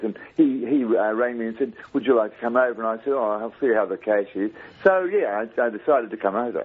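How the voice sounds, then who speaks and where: Talking at a very fast pace with hardly any pauses, a man uses a medium pitch, ordinary pitch variation and an Australian accent. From Australia, Brisbane, Queensland. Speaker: caller, part-time broadcaster. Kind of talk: phone-in call. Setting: phone call.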